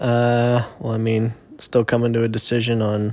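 At a fairly slow pace, a man with medium pitch speaks in a normal speaking voice. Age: 20s. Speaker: host's husband. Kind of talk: casual chat.

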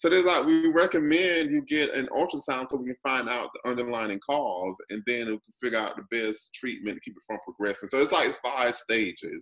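A man with an ordinary speaking voice talks fairly quickly at a medium pitch, his intonation lively. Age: 40s. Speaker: video and performance artist. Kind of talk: casual chat.

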